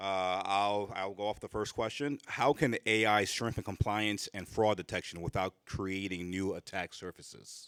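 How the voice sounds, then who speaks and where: A man's fairly low voice at a moderate pace, fairly even in intonation with hardly any pauses, in a dry, close sound with no echo. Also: very clean recording, silent background. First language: French. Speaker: panel moderator, insurance executive. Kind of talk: panel moderation.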